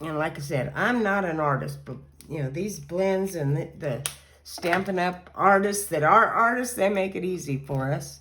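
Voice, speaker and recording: A woman's fairly low voice at a moderate pace, lively intonation, and audible room echo. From Kentucky. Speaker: card-making crafter. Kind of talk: crafting tutorial. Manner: casual, chatty.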